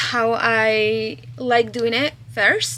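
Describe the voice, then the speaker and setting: Noticeable noise fills the background. A woman talks over it. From Chile. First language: Spanish. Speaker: crochet pattern designer and vlogger. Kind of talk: casual vlog. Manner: animated.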